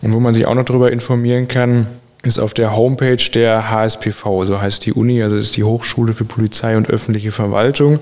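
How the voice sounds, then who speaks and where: A man talks at a fairly quick clip in a flat monotone, with noticeable background noise. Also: medium pitch for a man. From Sauerland, western Germany. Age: 20s. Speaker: dual-study student in public administration. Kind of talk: podcast interview.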